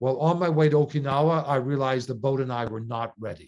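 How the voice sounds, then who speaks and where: Heard against a quiet background, an unremarkable speaking voice with a Canadian accent moves at a moderate pace with fairly even intonation. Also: man. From Canada. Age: 60s. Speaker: sailor and non-profit leader. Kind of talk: interview.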